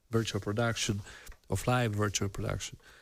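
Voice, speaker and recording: A man talks in a non-native accent with monotone, flat intonation. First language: not English. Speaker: virtual production artist and stream host. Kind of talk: live workshop stream. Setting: live stream video call. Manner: slow; halting, many fillers.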